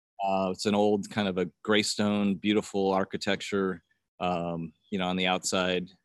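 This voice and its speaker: A man with a US Midwestern accent speaks at a moderate pace in a very deep, low pitch and a monotone, flat intonation. The sound is dry and close with no echo, on a very clean recording with a silent background. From US Midwest, rural northwest Ohio. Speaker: banker. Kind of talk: casual interview testimony. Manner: halting, many fillers.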